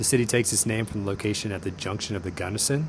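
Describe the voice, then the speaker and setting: Over noticeable background noise, a man talks very fast at a fairly low pitch. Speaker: navy fighter pilot. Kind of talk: narration to camera.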